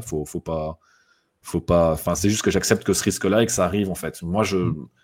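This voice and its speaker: Speaking at a fairly quick pace with a Belgian accent, a man has a very deep, low pitch and ordinary pitch variation, recorded very cleanly against a silent background. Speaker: motorsport guest. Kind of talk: casual chat.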